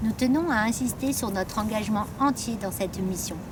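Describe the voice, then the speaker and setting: Moderate-paced speech with audible room echo and noticeable background noise. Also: woman. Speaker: staff election candidate, HR career manager. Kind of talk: campaign video statement. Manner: formal.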